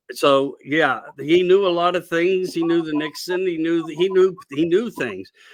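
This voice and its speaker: Speaking at a moderate pace with hardly any pauses, a man talks at a high pitch. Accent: Pennsylvania. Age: old. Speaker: radio show host. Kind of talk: casual interview chat. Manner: rambling animated.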